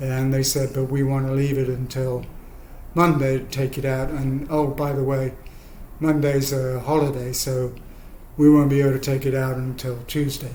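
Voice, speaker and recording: A man at a medium pitch and moderate pace, monotone and flat in intonation, with audible room echo. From England. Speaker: spinal injury survivor. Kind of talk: personal storytelling. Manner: halting, many fillers.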